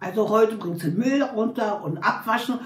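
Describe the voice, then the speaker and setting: A woman with lively intonation at a fairly slow pace, amid audible room echo and noticeable background noise. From Berlin (Charlottenburg). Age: 80s+. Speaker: interviewee telling her life story. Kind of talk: personal life story interview. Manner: halting.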